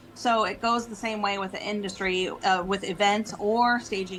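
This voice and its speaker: With an American accent, a woman speaks at medium pitch with ordinary pitch variation over noticeable background noise. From US, local to the show's area. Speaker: event planner and home stager. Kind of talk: podcast interview.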